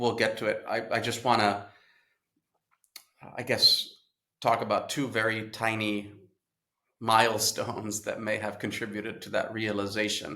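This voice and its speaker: Audible room echo surrounds a man who speaks at a moderate pace and medium pitch in a bright, sharp tone. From Italy, Rome. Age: 40s. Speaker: travel business founder. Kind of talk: interview.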